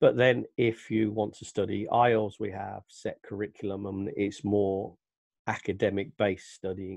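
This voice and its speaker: Set against a quiet background in a dry sound with no echo, a man with an English Midlands accent speaks at a moderate pace in a fairly low pitch, with fairly even intonation and big swings in loudness. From England, Northampton (East Midlands). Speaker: English teacher. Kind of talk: self-introduction to camera. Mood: friendly, relaxed. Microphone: headset.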